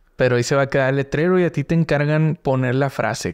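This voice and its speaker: Ordinary pitch variation over a quiet background. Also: man. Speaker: podcast host. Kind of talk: casual interview. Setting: studio. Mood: relaxed, friendly. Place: studio. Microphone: studio mic.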